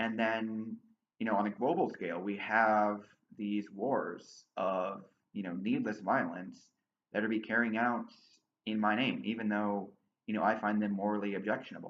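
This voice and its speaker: With an American accent, a man uses a plain, everyday voice, fairly low in pitch, with fairly even intonation at a moderate pace. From USA. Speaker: political commentator, channel owner. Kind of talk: monologue to camera.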